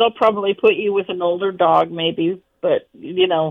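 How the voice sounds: At a moderate pace, a woman speaks with fairly even intonation and vocal fry. Her pitch sits fairly low.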